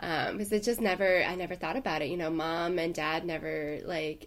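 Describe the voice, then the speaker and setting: A woman talks at a fairly quick pace with a fairly low pitch. She has an unremarkable speaking voice with ordinary pitch variation. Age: 20s. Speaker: podcast co-host, boudoir photographer. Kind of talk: casual chat.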